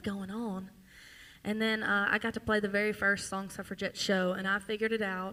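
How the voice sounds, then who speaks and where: A woman speaks in a strong Louisiana accent. Her tone is bright and sharp. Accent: thick Louisiana Southern. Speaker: singer-songwriter and show host. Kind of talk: live stage banter. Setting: stage with audience.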